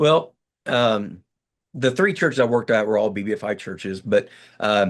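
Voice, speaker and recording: With an American accent, a man talks at a medium pitch and moderate pace. His intonation is lively over a quiet background. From Kansas. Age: 60s. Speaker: pastor. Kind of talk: interview. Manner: halting.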